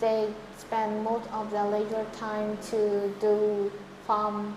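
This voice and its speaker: A woman with a Vietnamese accent speaks very slowly in a monotone, flat intonation at fairly high pitch. Room echo is audible and background noise is noticeable. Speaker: English test candidate. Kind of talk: speaking exam interview. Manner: halting.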